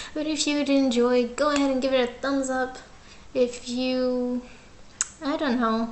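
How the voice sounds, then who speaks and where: A woman speaks at a high pitch. Noticeable background noise and audible room echo are heard. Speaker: gaming youtuber. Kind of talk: reading aloud a visual novel with commentary. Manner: halting; casual.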